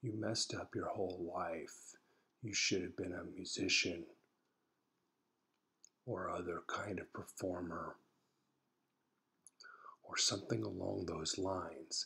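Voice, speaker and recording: A quiet, whispering man with an American accent, at a fairly slow pace with long, frequent pauses. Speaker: psychologist and therapist. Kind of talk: casual personal blog talk to camera. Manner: whispered, quiet.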